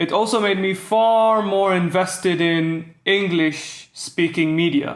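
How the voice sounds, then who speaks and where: With a Bahraini accent, a man speaks at a high pitch with ordinary pitch variation. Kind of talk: educational commentary to camera.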